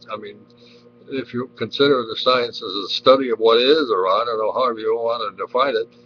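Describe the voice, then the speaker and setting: A man speaks at a moderate pace. Noticeable noise fills the background. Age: 70s. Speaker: webcam vlogger. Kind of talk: casual monologue. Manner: halting, with repetitions.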